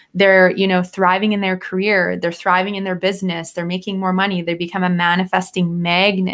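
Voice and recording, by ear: A woman talks at a fairly quick pace in a fairly low pitch. Her fairly bright tone shows little pitch movement.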